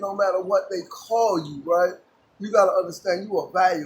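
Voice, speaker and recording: There is noticeable background noise in this clip. A man speaks at a high pitch and a moderate pace. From Jamaica, then New York City. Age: 60s. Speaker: former gang member in recovery. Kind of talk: street interview. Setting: outdoors.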